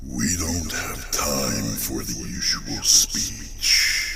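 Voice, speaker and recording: A man performs a put-on character voice at a very slow pace. Loud background noise runs underneath. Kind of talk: horror story narration. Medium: read story.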